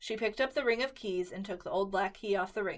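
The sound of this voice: An unforced reading voice with ordinary pitch variation carries the lines.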